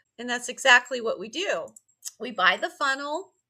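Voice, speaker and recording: A woman's raised, projected voice sits at a high pitch. Her tone is bright and sharp, with lively intonation. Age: 60s. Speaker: online business coach and affiliate marketer. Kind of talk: casual vlog talk to camera. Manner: conversational, with filler words.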